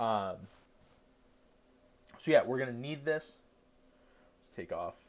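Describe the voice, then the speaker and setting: A man at a fairly slow pace, with big swings in loudness. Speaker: cooking livestreamer. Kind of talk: cooking tutorial. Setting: livestream from dorm room.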